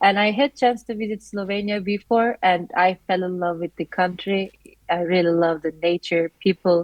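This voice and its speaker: A woman with a Turkish accent, medium in pitch, at a moderate pace, with fairly even intonation. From Turkey. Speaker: master's student. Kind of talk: interview.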